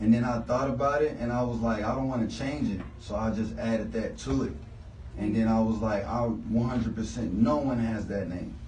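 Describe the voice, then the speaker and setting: A man with an American accent talks at a fairly quick pace, medium in pitch with ordinary pitch variation. Noticeable background noise and audible room echo are present. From Houston, Texas (Southwest). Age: 20s. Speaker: rapper. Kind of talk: radio interview.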